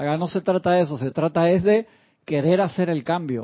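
With ordinary pitch variation, a man delivers his words in a high pitch at a moderate pace. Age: 40s. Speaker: spiritual teacher. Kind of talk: lecture.

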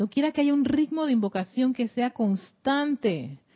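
A woman speaks at a moderate pace in a somewhat breathy voice with lively intonation. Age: 40s. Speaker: spiritual teacher and radio host. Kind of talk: spiritual teaching. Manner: halting, frequent repetitions.

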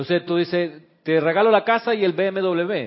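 Here a man talks in a high pitch with ordinary pitch variation. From Chile. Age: 60s. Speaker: spiritual teacher and radio host. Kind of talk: spiritual class on live radio. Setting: studio with camera, live broadcast.

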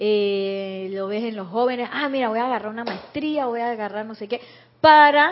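A woman with a plain, everyday voice talks at a moderate pace, her fairly high pitch showing ordinary pitch variation. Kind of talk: spiritual teaching talk.

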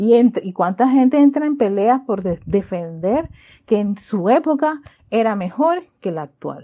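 Pitch rises and falls over a very wide range. The delivery is fairly slow. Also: woman. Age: 40s. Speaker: spiritual teacher. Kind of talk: spiritual class livestream. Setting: livestream from sister's house. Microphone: using headphones, not usual studio.

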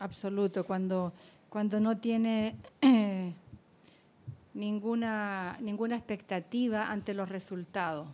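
A woman at a medium pitch with a dark, mellow tone, speaking at a very slow pace with long, frequent pauses, in a very clean recording with a silent background. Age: old. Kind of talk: group discussion.

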